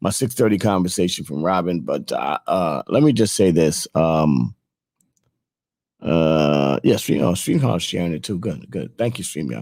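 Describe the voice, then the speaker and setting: A man's very deep, low-pitched voice with lively intonation at a moderate pace. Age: 50s. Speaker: morning show host. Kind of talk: casual chat. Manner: animated.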